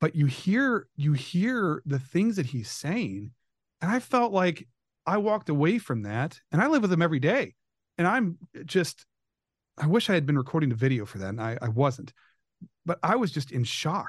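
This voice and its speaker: A man with a fairly high pitch talks at a moderate pace, his pitch swinging very widely. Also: quiet background. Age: 40s. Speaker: parent caregiver and blogger. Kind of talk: personal interview testimony. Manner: halting, many repetitions and fillers.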